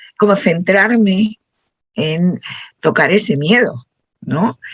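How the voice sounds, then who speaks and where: Very slow and somewhat breathy, a woman speaks at medium pitch. The sound is dry and close, with no echo. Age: 60s. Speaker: workshop participant. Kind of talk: group discussion.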